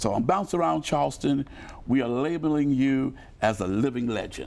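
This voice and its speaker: A man at medium pitch talks at a moderate pace with lively intonation, in a plain, everyday voice. The background is quiet. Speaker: TV show host. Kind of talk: interview question.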